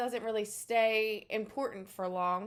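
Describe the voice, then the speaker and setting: In a Philadelphia accent, a woman speaks at medium pitch and a fairly slow pace. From US Northeast, Philadelphia. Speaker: psychic energy healer. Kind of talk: casual spiritual talk to camera.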